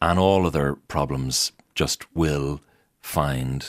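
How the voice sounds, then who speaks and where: A man speaks with a very deep, low pitch and vocal fry, his pitch varying in an ordinary way. The sound is dry and close, with no echo. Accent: Irish. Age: 40s. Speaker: Church of Ireland curate. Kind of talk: interview. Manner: halting, frequent repetitions.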